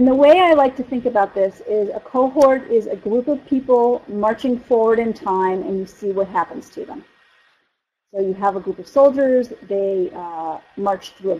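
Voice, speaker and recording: With an American accent and an unremarkable speaking voice, a woman talks at a moderate pace, her fairly high pitch carrying lively intonation and big shifts in loudness. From US East Coast. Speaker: physician researcher lecturer. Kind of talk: lecture.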